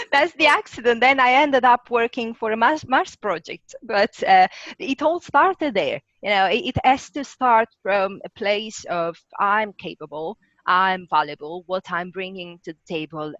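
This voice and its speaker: With a strong Italian accent and a fairly slow pace, the speaker makes very wide pitch swings and big swings in loudness in a dry, close sound with no echo and a quiet background. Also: woman. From Italy. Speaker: rocket scientist. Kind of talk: interview.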